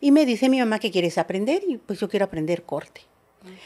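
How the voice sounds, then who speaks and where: A woman talks at a very fast pace with lively intonation. Her tone is dark and mellow. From Zinacantán, Chiapas, Mexico; Chiapas, Mexico. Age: 50s. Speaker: politician. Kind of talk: interview testimony. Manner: halting, many fillers. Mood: earnest, recounting painful childhood. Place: home room. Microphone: studio mic.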